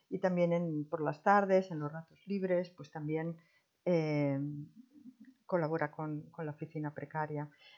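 The intonation stays fairly even. Delivery comes at a fairly slow pace. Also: woman, very deep, low pitch for a woman, big swings in loudness. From Spain, Madrid. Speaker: retired volunteer advisor. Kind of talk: interview. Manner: halting.

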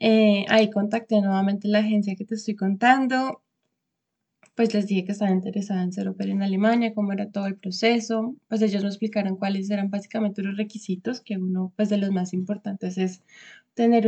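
Somewhat breathy, a woman's dark, mellow voice at a medium pitch, fairly quick in pace, with monotone, flat intonation. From Colombia, Bogotá. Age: 20s. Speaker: vocational trainee. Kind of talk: interview.

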